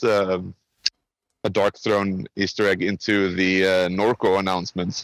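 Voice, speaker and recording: A man speaks at a fairly low pitch with a Swedish accent. The sound is dry and close, with no echo. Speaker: game industry professional. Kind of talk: podcast interview. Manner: casual.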